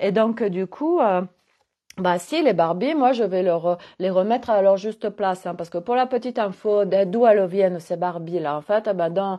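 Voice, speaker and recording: A woman with a southwestern French accent, medium in pitch, at a fairly slow pace with ordinary pitch variation. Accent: Gers. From southwest France, Gers. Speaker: holistic coach. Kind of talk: casual monologue vlog. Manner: hesitant, many fillers; animated.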